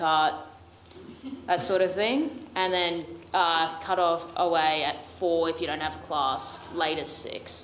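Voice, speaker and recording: A woman with an Australian accent and a very deep, low voice, fairly slow with fairly even intonation, in audible room echo. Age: young. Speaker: first-year military academy cadet. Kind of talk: Q&A panel answers.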